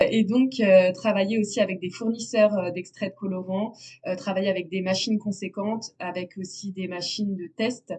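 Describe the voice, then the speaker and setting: A woman's somewhat breathy voice, dark and mellow in tone, medium in pitch, at a moderate pace with big swings in loudness. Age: 20s. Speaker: natural dyer. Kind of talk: interview. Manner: hesitant, many fillers.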